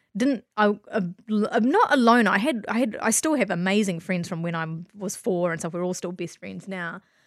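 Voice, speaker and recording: At a moderate pace and medium pitch, a woman speaks with a New Zealand accent against a quiet background. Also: ordinary pitch variation. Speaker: spiritual healer and businesswoman. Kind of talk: casual interview.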